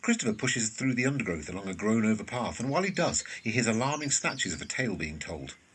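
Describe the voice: Big pitch swings mark this man's fast delivery. His voice is fairly low in pitch and fairly bright in tone.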